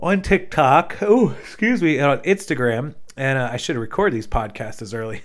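A man's normal speaking voice with an American accent, medium pitch, lively intonation and moderate pace. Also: very clean recording, silent background. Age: 30s. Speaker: podcast host, online reseller. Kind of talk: solo monologue podcast. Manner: casual, many filler words.

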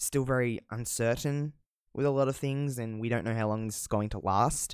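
The recording is very clean with a silent background. A man with an Australian accent speaks at medium pitch and a moderate pace. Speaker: podcast host. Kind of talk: solo casual monologue. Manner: casual, rambling, swears often.

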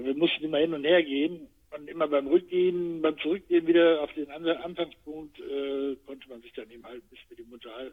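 Talking at a very fast pace, a man with a fairly high pitch keeps a fairly even intonation while his loudness swings widely. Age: 60s. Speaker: retired actor and podcast co-host. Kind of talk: casual chat.

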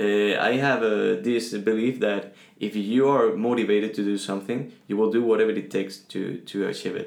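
A man speaks in a Spanish accent at a fairly low pitch. His intonation is fairly even, and he takes hardly any pauses. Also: moderate pace. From Venezuela. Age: 20s. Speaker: guest. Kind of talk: casual interview chat.

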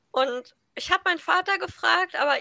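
A woman uses a raised, projected voice with lively intonation. Her tone is bright and sharp, and the sound is dry and close with no echo. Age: 20s. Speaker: podcast co-host, university student. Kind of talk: casual chat.

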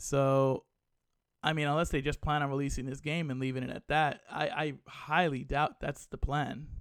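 The recording is very clean, with a silent background. A man with an American accent speaks at a fairly high pitch and a moderate pace. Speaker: gaming podcast host. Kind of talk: solo commentary podcast. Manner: subdued, less animated than usual; halting, many fillers.

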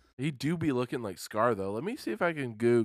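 With an ordinary speaking voice, a man talks at a fairly quick pace and fairly low pitch, his intonation lively, on a very clean recording with a silent background. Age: 20s. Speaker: podcast co-host. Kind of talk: casual chat. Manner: laughs often.

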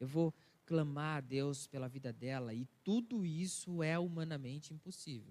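This man's voice sits fairly high and is somewhat breathy. His pitch varies in an ordinary way. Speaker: pastor. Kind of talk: sermon. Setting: church.

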